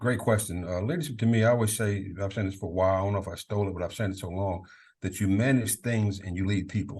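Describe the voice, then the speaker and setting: Against a quiet background, a man with a fairly low, somewhat breathy voice talks at a very fast pace with fairly even intonation. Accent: American. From Maryland, Prince George's County. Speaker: college football leadership coach, former Marine. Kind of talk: podcast interview.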